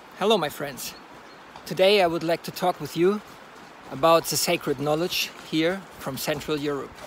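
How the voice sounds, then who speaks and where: Noticeable background noise surrounds a man with a German accent. He talks at a moderate pace with a fairly high pitch and ordinary pitch variation. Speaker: horseman and folklore storyteller. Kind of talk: casual monologue. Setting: outdoors on horseback. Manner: halting.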